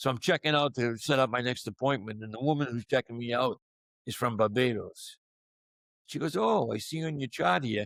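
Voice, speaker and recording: A man with a Boston accent talks at a fairly quick pace in a medium pitch with ordinary variation. The sound is dry and close, with no echo. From Boston area, US. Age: 60s. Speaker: sports media personality and cancer survivor. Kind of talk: podcast interview. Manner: casual, conversational.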